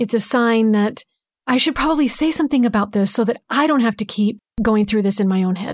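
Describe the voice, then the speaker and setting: Against a very clean recording with a silent background, a soft-spoken woman talks at a fairly high pitch with ordinary pitch variation. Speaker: podcast co-host, guest.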